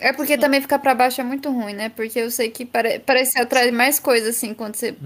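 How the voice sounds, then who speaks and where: Fairly quick, flat, monotone speech on a very clean recording with a silent background. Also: woman. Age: 20s. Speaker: advertising student and intern. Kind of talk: casual chat.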